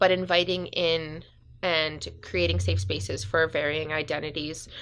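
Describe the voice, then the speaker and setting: A woman talks with a Western Canadian accent. Her pace is moderate and the background is quiet. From northern British Columbia, Canada (Smithers). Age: 20s. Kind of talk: casual interview. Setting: community radio studio.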